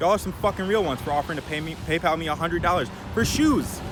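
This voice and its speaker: A man's very fast speech with lively intonation over noticeable background noise. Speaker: thrift clothing reseller, vlogger. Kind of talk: casual Q&A vlog. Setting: outdoors.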